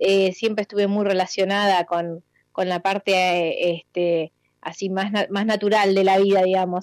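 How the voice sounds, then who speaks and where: The speaker has a Rioplatense accent and a monotone, flat intonation at a fairly slow pace. The recording is very clean and dry, close with no echo, against a silent background. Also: woman, medium pitch for a woman. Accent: Argentine Spanish (rioplatense). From Argentina, Bahía Blanca. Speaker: cook and restaurant owner. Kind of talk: interview.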